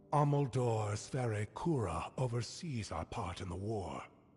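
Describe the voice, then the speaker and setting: A man puts on a character voice at medium pitch. He goes at a fairly slow pace with lively intonation. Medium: video game. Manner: stern, formal, measured.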